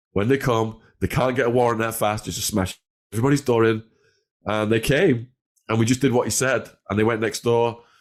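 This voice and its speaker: An animated man with a northern English accent, at a fairly quick pace, on a very clean recording with a silent background. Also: medium pitch for a man. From northwest England, between Liverpool and Manchester. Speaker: former drug dealer telling life story. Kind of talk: interview storytelling.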